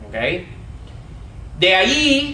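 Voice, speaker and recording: A man speaks very slowly in a raised, projected voice with very wide pitch swings. Noticeable background noise and audible room echo fill the recording. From United States. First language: English (speaking Spanish). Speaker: Bible teacher. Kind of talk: lecture.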